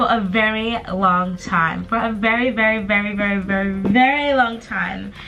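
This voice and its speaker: With music playing in the background, a woman speaks in an upbeat tone at a medium pitch, with ordinary pitch variation. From Zimbabwe. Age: 20s. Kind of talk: casual talk to camera. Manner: chatty, upbeat.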